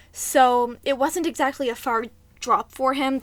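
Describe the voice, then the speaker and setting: A woman's high voice with ordinary pitch variation. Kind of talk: casual storytime talk to camera. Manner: occasional vocal tics.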